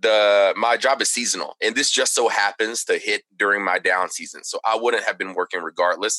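A man with an American accent talks at a moderate pace, the sound dry and close with no echo. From Texas, Plano area. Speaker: audio engineer and cheer music producer. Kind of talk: casual interview chat. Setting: video call from home studio.

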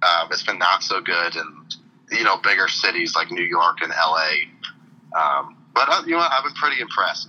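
Noticeable background noise sits behind a man with an American accent talking at a moderate pace. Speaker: sports fan guest. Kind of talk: casual chat. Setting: phone call. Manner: halting. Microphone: on speakerphone.

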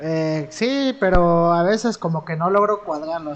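A plain, everyday voice comes through. The pitch shows ordinary variation. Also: man. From Mexico, Veracruz (Amatlán de los Reyes, near Córdoba). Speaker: teacher, podcast co-host. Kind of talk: casual chat.

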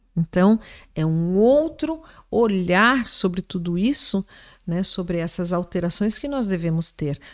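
Heard in a very clean recording with a silent background, an ordinary speaking voice moves at a fairly slow pace with lively intonation. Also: woman, medium pitch for a woman. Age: 50s. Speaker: gynecologist. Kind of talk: interview, medical explanation.

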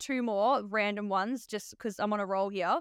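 A woman with an Australian accent speaks in a fairly high pitch. The sound is dry and close with no echo. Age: 30s. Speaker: nurse and podcast host. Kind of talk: casual interview chat.

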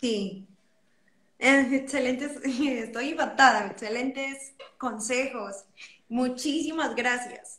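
In a room with audible echo, a woman with a high pitch speaks very slowly with long, frequent pauses and fairly even intonation. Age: 20s. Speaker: psychologist and singer. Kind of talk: interview.

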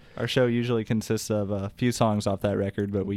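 A man speaks with a Midwestern American accent at a fairly low pitch. His dark, mellow tone stays monotone and flat at a fairly quick pace. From Indiana, US Midwest. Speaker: band musician. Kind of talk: casual chat.

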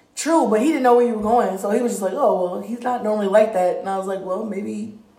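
A woman's fairly high voice with ordinary pitch variation, set against noticeable background noise. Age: adult, parent. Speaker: podcast co-host. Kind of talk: casual chat.

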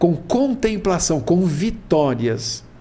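Very slowly, a man speaks at a high pitch with very wide pitch swings, with audible room echo around him. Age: 70s. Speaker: spiritist speaker. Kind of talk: casual chat.

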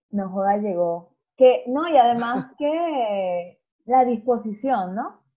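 A woman with a Venezuelan accent speaks at a very slow pace. Her fairly high voice has lively intonation. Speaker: podcast co-host. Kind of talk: casual chat.

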